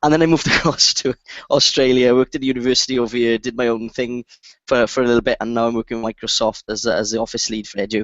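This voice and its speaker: A man talks at a very fast pace with a Welsh accent. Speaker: education technology lead, former teacher. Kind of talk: casual self-introduction.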